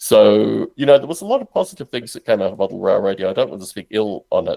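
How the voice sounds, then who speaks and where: A man with an Australian accent at a fairly quick pace, in a dry, close sound with no echo. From Australia, Canberra. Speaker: podcaster and simulation developer. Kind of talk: interview.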